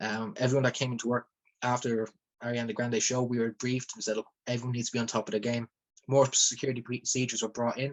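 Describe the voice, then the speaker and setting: A man at a very fast pace, with monotone, flat intonation. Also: medium pitch for a man. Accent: Dublin. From Ireland, Dublin. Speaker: rapper and former event security worker. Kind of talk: testimony. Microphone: phone mic.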